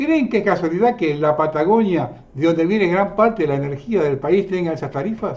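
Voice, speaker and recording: A man speaks at a high pitch and a fairly quick pace. His intonation is lively. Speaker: political commentary show host. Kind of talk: scripted commentary narration.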